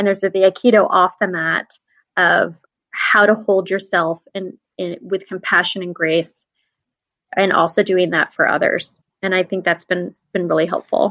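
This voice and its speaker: In an American accent, a woman at a medium pitch speaks at a moderate pace with monotone, flat intonation and long, frequent pauses. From upstate New York. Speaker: academic advising administrator. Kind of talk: interview.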